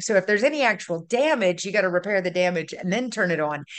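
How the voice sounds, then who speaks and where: A woman in a Louisiana accent. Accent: Louisiana Southern US. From North Louisiana, raised in Baton Rouge. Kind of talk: casual chat. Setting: video call.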